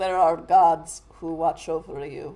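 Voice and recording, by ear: Someone does a put-on character voice at a middle pitch. The pace is fairly slow.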